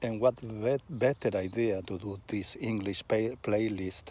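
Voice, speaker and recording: A man with a Spanish accent speaks at a very slow pace in a fairly low pitch. His tone is dark and mellow, with ordinary pitch variation. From Argentina, Buenos Aires. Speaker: vlogger. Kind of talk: casual monologue. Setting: outdoors on a walk. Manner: halting, with pauses.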